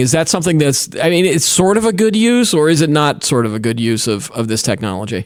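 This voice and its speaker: Over a silent background in a very clean recording, the voice moves at a fairly quick pace with very wide pitch swings. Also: man. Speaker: tech show host. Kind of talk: casual chat. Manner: fast; stutters and uses ums when losing track.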